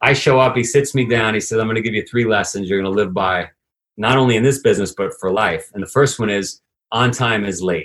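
A man with a New York accent talks very fast at a fairly low pitch with ordinary pitch variation. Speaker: fitness entrepreneur. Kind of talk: interview conversation.

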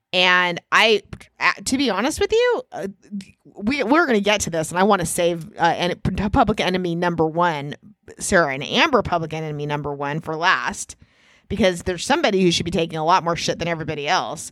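A woman's plain, everyday voice, fairly low in pitch with ordinary pitch variation, at a fairly quick pace. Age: 50s. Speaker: podcast co-host. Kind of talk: casual chat.

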